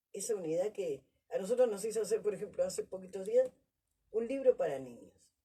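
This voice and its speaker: A woman's dark, mellow voice with vocal fry, lively intonation and a fairly quick pace. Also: long, frequent pauses, big swings in loudness. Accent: Rioplatense. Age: 60s. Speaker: Afro women's activist. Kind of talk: panel discussion.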